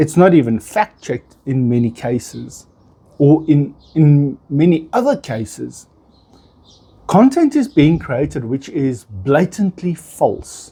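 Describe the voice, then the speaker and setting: Very slow and somewhat breathy, a man with a dark, mellow tone and a fairly high pitch speaks with lively intonation. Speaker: content creator. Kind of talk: casual monologue to camera. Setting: outdoors on balcony. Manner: unedited, with false starts. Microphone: small wireless microphone, phone camera.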